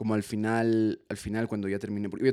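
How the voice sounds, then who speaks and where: Over a silent background on a very clean recording, a man with a fairly low pitch and a dark, mellow tone talks at a fairly quick pace in a monotone, flat delivery. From Ecuador. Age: 20s. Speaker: comedian and musician. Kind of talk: casual chat.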